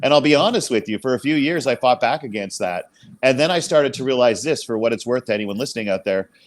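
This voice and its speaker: A man at a medium pitch uses lively intonation in a very clean recording with a silent background. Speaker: motivational speaker. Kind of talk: casual chat. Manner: fast.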